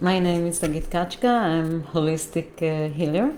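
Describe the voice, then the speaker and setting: Her voice is fairly low in pitch, and the woman speaks with a non-native accent. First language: not English. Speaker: holistic healer. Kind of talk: live stream talk. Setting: live stream from computer. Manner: halting, many fillers.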